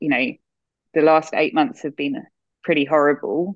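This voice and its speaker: Her pitch is very deep and low for a woman. She uses ordinary pitch variation. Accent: Australian. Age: 40s. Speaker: nurse. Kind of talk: casual interview.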